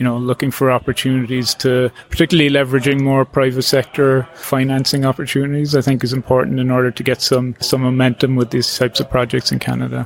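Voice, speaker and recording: In an Irish accent, a man races along at a very fast pace with hardly any pauses and monotone, flat intonation, the sound dry and close with no echo. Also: medium pitch for a man. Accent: Irish accent, noticeable. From Ireland, Cork. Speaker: coastal engineer. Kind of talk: interview. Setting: at a workshop. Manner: halting, many fillers and restarts.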